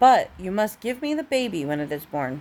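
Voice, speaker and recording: In a put-on character voice, a female-sounding speaker sounds croaky at a medium pitch for a woman, moving at a moderate pace with very wide pitch swings. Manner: demanding, menacing.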